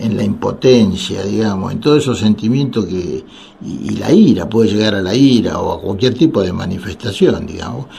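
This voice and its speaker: A man with a Rioplatense accent, fairly low in pitch, at a moderate pace with lively intonation, amid audible room echo and noticeable background noise. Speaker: radio host and psychiatrist. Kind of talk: radio call-in talk. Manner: halting, many fillers.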